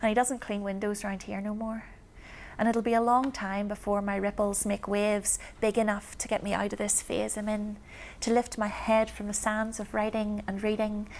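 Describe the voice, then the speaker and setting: With a Belfast accent, the delivery stays monotone, with flat intonation. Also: woman. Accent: Belfast, Northern Irish. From East Belfast, Northern Ireland. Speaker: performance poet. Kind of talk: spoken word poetry performance.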